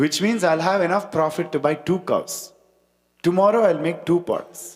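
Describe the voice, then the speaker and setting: Here a man speaks with a Tamil accent. His pitch is high. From India, Chennai. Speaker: spiritual talk speaker. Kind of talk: devotional talk with storytelling.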